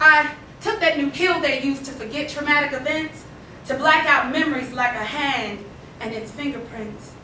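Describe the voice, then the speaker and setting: Audible room echo and noticeable background noise surround a woman's raised, projected voice, high in pitch with lively intonation. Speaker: poet. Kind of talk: poetry reading. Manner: loud.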